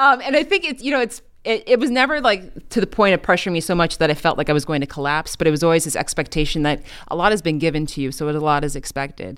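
Very fast speech in an American accent with very wide pitch swings, on a very clean recording with a silent background. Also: woman, fairly low pitch for a woman. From Chicago. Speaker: morning news anchor. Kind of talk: casual interview chat.

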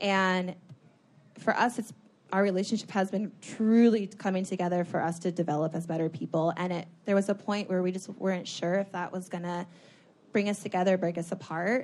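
Against a quiet background, a woman talks at a fairly quick pace in an ordinary speaking voice, her pitch medium and her intonation fairly even. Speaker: fitness motivational coach and reality TV contestant. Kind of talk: live podcast conversation, advice-giving. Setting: stage with audience.

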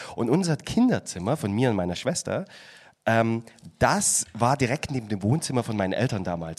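Over noticeable background noise, a man at a medium pitch speaks at a fairly quick pace. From Saxony, Chemnitz. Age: 30s. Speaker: podcast guest. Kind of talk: casual chat.

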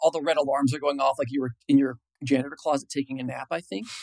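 An American accent marks a man's voice, which has very wide pitch swings in a dry, close sound with no echo. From Illinois, US Midwest. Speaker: software engineer. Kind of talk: interview.

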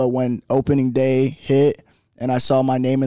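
A man's medium-pitched voice, dark and mellow in tone, flat and monotone in delivery, in a dry, close sound with no echo. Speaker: professional baseball player. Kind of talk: interview. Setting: on location at a university.

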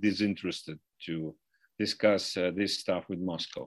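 A man with a Russian accent at a moderate pace against a quiet background. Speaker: foreign policy analyst. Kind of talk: interview. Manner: halting, many fillers.

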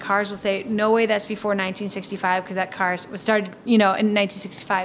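An unremarkable speaking voice from a woman with an American accent, medium in pitch, with fairly even intonation. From Milwaukee, Wisconsin. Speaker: historical society director. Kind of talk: interview.

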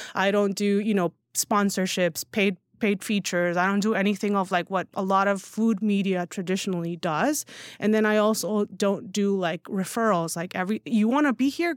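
A woman in a plain, everyday voice speaks at a moderate pace and medium pitch with ordinary pitch variation and very even loudness, in a very clean recording with a silent background and a dry, close sound with no echo. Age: 30s. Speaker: newsletter founder and writer. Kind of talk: casual chat. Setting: studio.

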